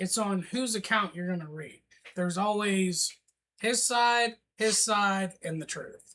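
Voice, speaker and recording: A man's raised, projected voice, high in pitch, bright and sharp in tone, with ordinary pitch variation, a very slow pace and long, frequent pauses. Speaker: history podcast co-host. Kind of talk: casual chat.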